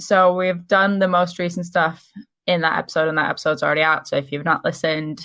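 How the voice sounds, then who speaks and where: A woman's plain, everyday voice, fairly low in pitch, at a fairly quick pace. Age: 20s. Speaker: podcast co-host. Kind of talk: casual chat.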